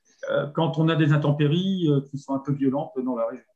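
He has a plain, everyday voice. This man speaks at a moderate pace with ordinary pitch variation. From northern France. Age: 50s. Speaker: campsite owner, former salesman. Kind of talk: interview.

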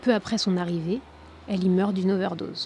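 Dramatic in tone yet fairly even in intonation, a woman speaks in a somewhat breathy, dark, mellow voice at a medium pitch. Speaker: podcast narrator and host. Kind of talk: true-crime narration, scripted storytelling. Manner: grave, measured, dramatic storyteller.

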